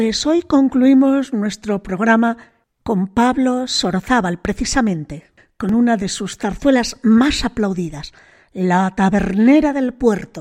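Heard over a silent background in a very clean recording, the voice moves very slowly, with a dark, mellow tone and lively intonation. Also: woman. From Spain, Bilbao. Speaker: radio host. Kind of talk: radio music programme presenting.

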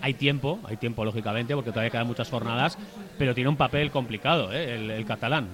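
A man speaks at a very fast pace with ordinary pitch variation. Noticeable background noise runs underneath. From Durango, Basque Country. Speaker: football talk show panelist. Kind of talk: casual chat. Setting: live show with audience in a bar.

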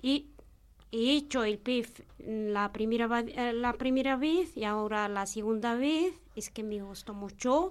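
Very slowly paced, the speech shows ordinary pitch variation. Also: woman, fairly high pitch for a woman. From Morocco. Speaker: program participant, mother. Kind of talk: radio interview.

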